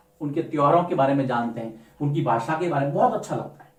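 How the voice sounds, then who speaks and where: Audible room echo surrounds a man speaking at a moderate pace with ordinary pitch variation in a Rajasthani accent. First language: Marwari (speaking Hindi). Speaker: teacher. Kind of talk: lecture.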